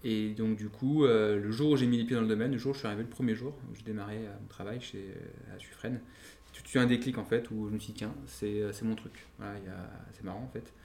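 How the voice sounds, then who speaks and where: Dark and mellow in tone, a man's medium-pitched voice moves at a fairly quick pace with fairly even intonation and big swings in loudness. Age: 30s. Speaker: wine entrepreneur. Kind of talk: interview.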